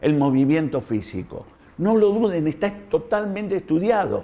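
A man with a dark, mellow tone, lively intonation and a fairly slow pace. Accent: Argentine. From Argentina. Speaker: doctor. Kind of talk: health talk to camera. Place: home room. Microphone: lapel.

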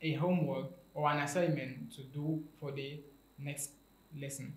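Audible room echo carries a man's voice at a fairly slow pace. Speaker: teacher. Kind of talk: lecture. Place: studio.

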